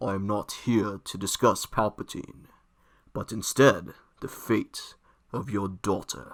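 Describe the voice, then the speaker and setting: A man puts on a character voice at a fairly low pitch. He talks at a fairly slow pace with big swings in loudness. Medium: read story. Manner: slow, commanding, menacing.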